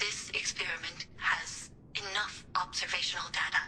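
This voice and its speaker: Cartoonish character voice, female-sounding and medium in pitch, at a moderate pace over clear background noise. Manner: calm, formal, measured.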